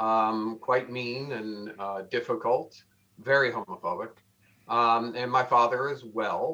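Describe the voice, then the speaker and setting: Over a quiet background, a man with an American accent speaks at a very slow pace. His tone is bright and sharp, with medium pitch and fairly even intonation. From Connecticut, near New Haven. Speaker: retired firefighter and author. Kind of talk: interview. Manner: hesitant, with fillers.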